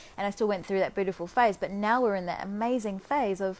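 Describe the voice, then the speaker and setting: A woman with a medium pitch speaks very fast, with fairly even intonation. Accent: Australian. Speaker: life coach. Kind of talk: casual monologue. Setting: Facebook live video.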